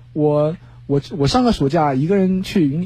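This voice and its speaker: Somewhat breathy and dark, mellow in tone, a man speaks with a fairly high pitch. His intonation is lively and his pace moderate. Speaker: student. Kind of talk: casual chat. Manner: formal.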